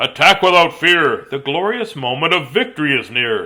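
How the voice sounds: Putting on a character voice, a man speaks at a moderate pace with a fairly high pitch, big pitch swings and a bright, sharp tone.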